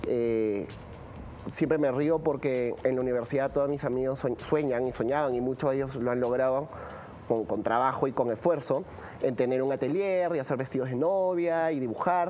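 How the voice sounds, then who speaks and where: This man has a medium pitch and a dark, mellow tone, speaking at a moderate pace with ordinary pitch variation over light background noise. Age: 30s. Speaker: fashion production specialist; guest. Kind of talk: interview. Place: studio. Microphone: lapel.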